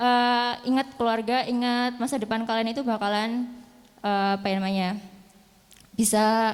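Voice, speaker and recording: Her pitch fairly high, a woman speaks in a flat monotone. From Central Java (Banjarnegara). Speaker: English teacher. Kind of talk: speech at an opening ceremony.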